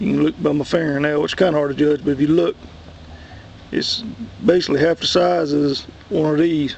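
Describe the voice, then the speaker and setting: In a Southern US accent, a fairly high-pitched man talks at a fairly quick pace with fairly even intonation, the sound dry with no echo. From US South. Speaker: worm composting hobbyist. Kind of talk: tutorial; casual tutorial. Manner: casual, halting with fillers. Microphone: phone near.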